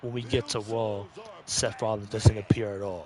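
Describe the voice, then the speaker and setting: A man's fairly low, somewhat breathy voice keeps fairly even intonation. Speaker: wrestling podcast co-host. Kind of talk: casual chat. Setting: live stream. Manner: halting.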